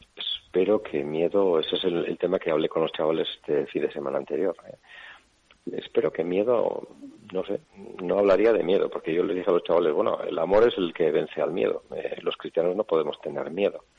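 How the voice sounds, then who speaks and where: A man with a Basque accent speaks at a fairly quick pace. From Navarre, Basque-speaking area, Spain. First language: Basque (speaking Spanish). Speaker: bishop. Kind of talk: radio interview.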